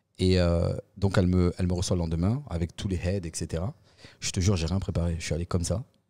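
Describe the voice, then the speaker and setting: Very deep, low male pitch in a dark, mellow tone at a very fast pace, on a very clean recording with a silent background. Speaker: podcast guest, real estate professional. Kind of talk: casual interview chat. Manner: animated.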